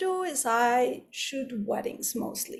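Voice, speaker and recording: The speaker has a Spanish accent and talks at a very slow pace. Pitch variation is ordinary, and the room echo is audible. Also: woman. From Mexico. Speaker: wedding photographer. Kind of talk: lecture.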